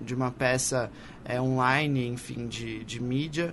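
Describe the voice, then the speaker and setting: With audible room echo, a man with a medium pitch speaks in a monotone, flat intonation. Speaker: podcaster and advertising professional. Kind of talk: live panel discussion. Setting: stage with audience.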